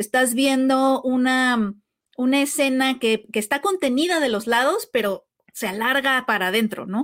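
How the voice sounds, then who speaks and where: A high-pitched woman's voice, very even in loudness, with ordinary pitch variation and a fairly slow pace. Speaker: film podcast co-host. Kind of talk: casual chat.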